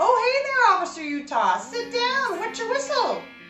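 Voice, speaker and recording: A woman does a squeaky, put-on character voice at an extremely high pitch and a moderate pace, with slight echo and clear music in the background. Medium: audio drama. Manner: chatty, folksy.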